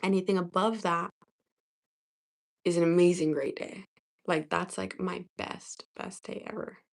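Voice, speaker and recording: A woman with a fairly low pitch and vocal fry speaks at a fairly slow pace, with long, frequent pauses, fairly even intonation and big swings in loudness. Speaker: livestreamer. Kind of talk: casual livestream chat.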